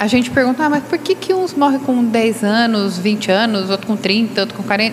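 A woman talks at a moderate pace with a fairly high pitch and lively intonation. Her loudness stays very even despite noticeable background noise. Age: 60s. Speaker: spiritist study group participant. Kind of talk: group study discussion.

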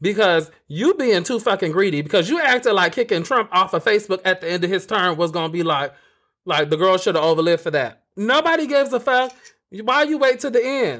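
A loud, animated man with a high, bright, sharp voice and very wide pitch swings, on a very clean recording with a silent background. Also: fairly quick pace. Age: 30s. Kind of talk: casual chat, comedic banter. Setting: live video stream.

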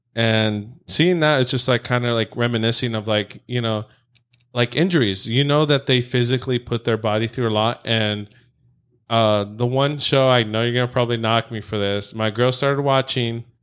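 Here a man talks in a plain, everyday voice at a medium pitch and moderate pace. His intonation is fairly even, on a very clean recording with a silent background. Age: 30s. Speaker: podcast host. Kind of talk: casual chat. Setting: in person, same room.

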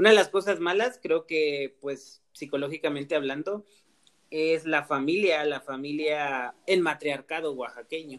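A normal speaking voice, fairly unhurried, its pitch varying in an ordinary way. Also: man, fairly high pitch for a man. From Mexico, Oaxaca (Mixteca region). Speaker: podcast host. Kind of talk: casual chat.

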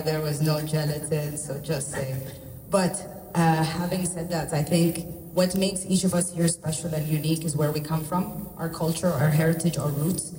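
A woman's very deep, low voice, monotone and flat, at a moderate pace amid noticeable background noise and audible room echo. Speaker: chef. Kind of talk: press conference remarks.

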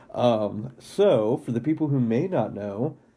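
Medium-pitched man with a dark, mellow tone and ordinary pitch variation over a quiet background. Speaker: podcast host. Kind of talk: casual chat.

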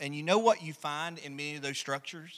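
A man with an Alabama accent, bright and sharp in tone, on a very clean recording with a silent background. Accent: Southern US (Alabama). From US South, rural Alabama. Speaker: pastor. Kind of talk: sermon. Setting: church. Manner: halting with many fillers.

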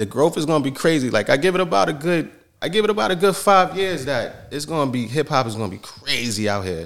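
Talking at a very fast pace with vocal fry, a man with an American accent uses a fairly high pitch and very wide pitch swings. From Yonkers, New York, US. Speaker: hip hop artist. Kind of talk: interview.

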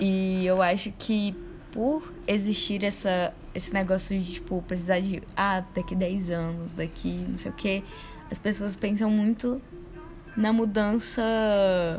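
Fairly even in intonation, a woman speaks at a medium pitch. Her pace is very slow. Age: 20s. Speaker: podcast co-host. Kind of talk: casual chat.

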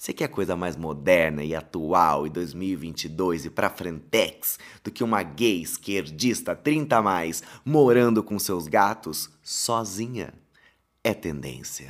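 Very deep and low, a man's voice moves at a very slow pace with lively intonation in a very clean recording with a silent background. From Paraná countryside, Brazil. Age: 30s. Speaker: podcast host and content creator. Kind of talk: storytelling monologue. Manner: animated.

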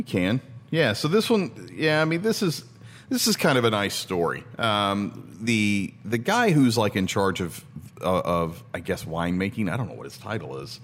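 A man speaks at a moderate pace in a medium pitch, with vocal fry and very wide swings in pitch. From Tennessee. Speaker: podcast host. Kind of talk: casual chat.

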